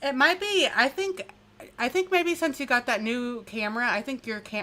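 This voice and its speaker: Over noticeable background noise, a woman uses a raised, projected voice, high in pitch with very wide pitch swings, at a moderate pace. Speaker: true crime youtuber. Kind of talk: casual chat.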